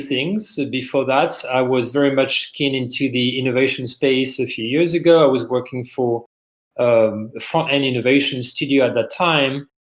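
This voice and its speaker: The speaker has a French accent and keeps a moderate pace. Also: man. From France. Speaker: business executive, podcast guest. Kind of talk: interview conversation.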